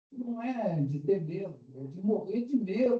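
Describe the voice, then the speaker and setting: A man's high voice, dark and mellow in tone, with very wide pitch swings at a very slow pace. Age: 80s+. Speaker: retired physician, audience member. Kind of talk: audience comment in Q&A.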